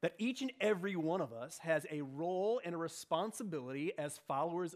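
At a moderate pace, a man with a high pitch talks with lively intonation. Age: 40s. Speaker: church discipleship director preaching. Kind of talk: sermon.

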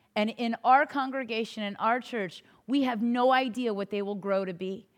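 Speaking in an ordinary speaking voice, a woman with a fairly high pitch and ordinary pitch variation talks at a moderate pace on a very clean recording with a silent background. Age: 30s. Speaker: pastor. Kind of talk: sermon.

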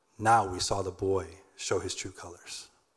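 A somewhat breathy man speaks at a fairly slow pace with fairly even intonation, in a very clean recording with a silent background. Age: 30s. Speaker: nonprofit founder. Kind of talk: sermon. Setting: church.

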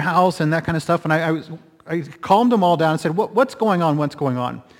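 A man speaks in a high voice. His pitch variation is ordinary. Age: 40s. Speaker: pastor. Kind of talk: sermon.

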